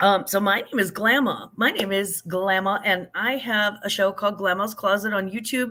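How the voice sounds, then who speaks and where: Using an unremarkable speaking voice, a woman talks at a moderate pace and medium pitch with fairly even intonation, very even loudness and hardly any pauses. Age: middle-aged. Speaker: YouTuber and online reseller. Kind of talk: casual live chat.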